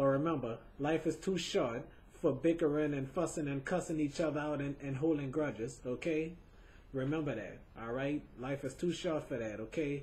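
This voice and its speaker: A man with a somewhat breathy, fairly high-pitched voice talks at a moderate pace. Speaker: webcam show host. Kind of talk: video tribute monologue. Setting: home webcam recording. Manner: halting, repetitive.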